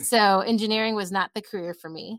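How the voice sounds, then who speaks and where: The speaker talks at a moderate pace with a Californian accent. The recording is very clean and dry, close with no echo, over a silent background. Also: woman. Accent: Californian American. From Southern California, Los Angeles. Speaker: activist and writer. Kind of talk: casual interview conversation.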